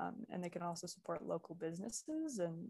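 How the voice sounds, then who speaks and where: At a moderate pace, a woman with an ordinary speaking voice talks in a fairly low pitch. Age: young. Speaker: university student. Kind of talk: casual interview chat.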